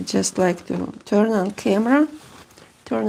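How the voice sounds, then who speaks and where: The speech has a Russian accent and a very slow pace. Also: woman. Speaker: seamstress. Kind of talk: sewing vlog. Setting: home sewing room. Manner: halting. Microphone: new microphone.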